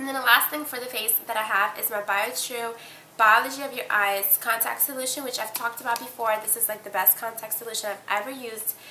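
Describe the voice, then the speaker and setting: With audible room echo, a woman talks at a very fast pace, her pitch fairly high and her intonation fairly even. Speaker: beauty vlogger. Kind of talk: casual product review vlog.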